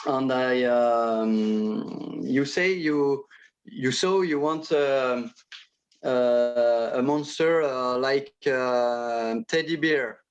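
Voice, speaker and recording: A very slow man with a French accent, medium pitch, ordinary pitch variation and very even loudness. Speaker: illustrator. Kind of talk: interview. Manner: halting, many hesitations.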